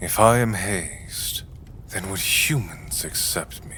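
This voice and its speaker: Putting on a character voice, a man of medium pitch speaks at a fairly slow pace over clear background noise. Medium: audio drama. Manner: formal, measured, no contractions.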